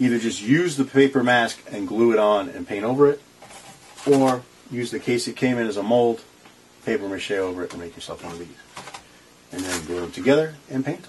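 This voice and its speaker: A man at a fairly quick pace with ordinary pitch variation and big swings in loudness, over light background noise. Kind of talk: tutorial. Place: workshop. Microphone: phone near.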